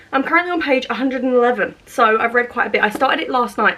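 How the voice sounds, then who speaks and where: A woman speaks at a very fast pace and a high pitch. Noticeable background noise is present. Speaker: book vlogger. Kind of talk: casual vlog chat. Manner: animated, chatty.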